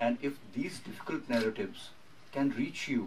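Loud background noise surrounds a man speaking with an Indian accent. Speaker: documentary filmmaker. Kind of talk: press conference. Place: hall.

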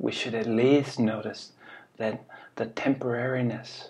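The man's delivery is very slow. There is some breathiness in his voice. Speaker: spiritual teacher. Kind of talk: reflective talk, dharma-style teaching. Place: home room. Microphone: webcam.

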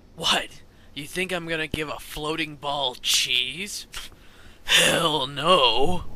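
A man's fairly high voice, very slow pace, fairly even intonation. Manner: clueless, crude.

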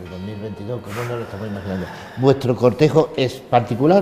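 A man talks at a moderate pace. The room echo is audible, and the background noise is noticeable. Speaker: TV host of a religious brotherhood news program. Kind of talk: interview. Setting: inside a church. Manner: halting, many repetitions.

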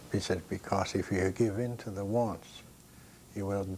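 Over light background noise, a man speaks in a flat monotone at a fairly low pitch. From Maine, Passamaquoddy reservation. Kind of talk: interview. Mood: calm, reflective, proud. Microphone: lapel.

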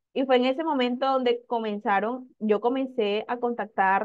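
Against a quiet background, a woman with a fairly high pitch talks at a fairly slow pace with fairly even intonation. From Colombian Caribbean coast, Magdalena. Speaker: sales director. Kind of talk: testimony. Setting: live video stream. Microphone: video call.

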